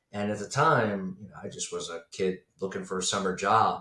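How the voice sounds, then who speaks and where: With an ordinary speaking voice, a man talks at a moderate pace in a fairly low pitch with ordinary pitch variation. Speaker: business broker for accounting firms. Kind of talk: podcast interview.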